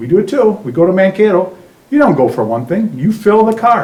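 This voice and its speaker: A man with an Upper Midwest accent speaks at a moderate pace. Noticeable background noise and audible room echo are present. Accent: Upper Midwest (Minnesota). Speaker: resident speaking at public forum. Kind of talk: public comment at town hall. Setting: town hall meeting.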